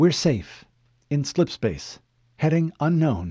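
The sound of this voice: A man's put-on character voice, fairly high-pitched for a man, with a dark, mellow tone, a slightly husky edge, big pitch swings and a slow pace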